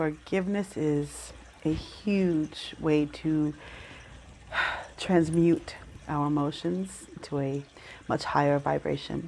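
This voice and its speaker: Over noticeable background noise, a soft-spoken woman with an American accent talks in a very deep, low pitch, her intonation lively. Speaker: Reiki practitioner. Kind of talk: guided Reiki meditation. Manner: soft-spoken, calm, slow.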